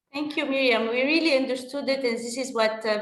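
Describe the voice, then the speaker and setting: Her intonation stays fairly even. This woman's voice carries audible room echo. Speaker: workplace expert. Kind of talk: panel discussion. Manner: passionate.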